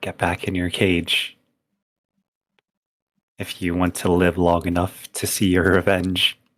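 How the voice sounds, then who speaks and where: Putting on a shaky character voice, a man speaks very deep and low in monotone, flat intonation at a fairly slow pace with long, frequent pauses. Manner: shaky, trembling.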